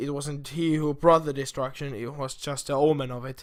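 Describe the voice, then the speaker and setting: A man with a non-native accent speaks at a moderate pace on a very clean recording with a silent background. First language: not English. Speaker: gaming YouTuber. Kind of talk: casual video monologue. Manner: halting.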